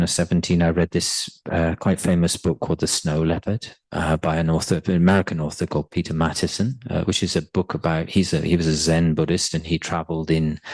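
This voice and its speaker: A man with a very deep, low pitch talks at a very fast pace in a southern English accent. His intonation is monotone and flat, and his loudness is very even. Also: hardly any pauses, dry, close sound with no echo. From England, Bristol (south). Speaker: translator. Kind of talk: personal talk. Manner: halting.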